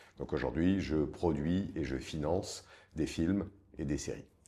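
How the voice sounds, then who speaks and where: This man's voice has a dark, mellow tone. Vocal fry runs through it. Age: 60s. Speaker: film producer and investor. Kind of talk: interview conversation. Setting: office.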